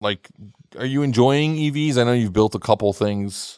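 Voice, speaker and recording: On a very clean recording with a silent background, a man with an American accent talks at a moderate pace and a medium pitch. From New York City. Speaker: podcast host. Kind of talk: casual chat.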